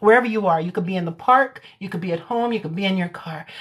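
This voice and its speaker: There is a somewhat breathy quality to this voice. It belongs to a woman. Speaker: hypnotherapist. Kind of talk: casual chat; guided meditation. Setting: social media livestream. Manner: voice lowers for meditation.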